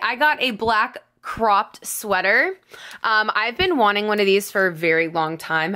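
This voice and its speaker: A woman puts on a loud, raspy character voice at a medium pitch, speaking at a moderate pace. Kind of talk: casual vlog. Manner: loud, excited.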